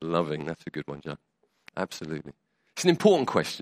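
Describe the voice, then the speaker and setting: A man with a British accent talks at a fairly quick pace, his pitch swinging very widely. The recording is very clean with a silent background, and the sound is dry and close with no echo. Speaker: preacher. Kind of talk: sermon. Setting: church. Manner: conversational, hesitant with fillers.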